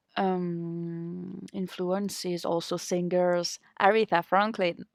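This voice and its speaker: A woman speaks in a French accent at a very slow pace, with monotone, flat intonation. The sound is dry and close, with no echo. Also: fairly low pitch for a woman. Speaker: harmonica player. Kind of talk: interview. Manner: halting.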